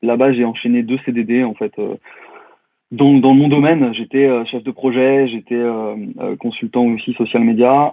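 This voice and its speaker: At a fairly slow pace with long, frequent pauses, a man of medium pitch speaks with fairly even intonation. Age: 30s. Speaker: digital consultant and LinkedIn trainer. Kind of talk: podcast interview.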